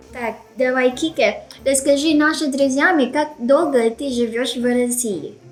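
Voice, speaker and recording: Music plays behind a woman speaking with a Filipino accent. Her pitch is high and her pace very slow. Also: ordinary pitch variation. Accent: Filipino accent in Russian. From Philippines. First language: Filipino (speaking Russian). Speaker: YouTuber, language learner. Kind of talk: scripted vlog intro; casual interview chat.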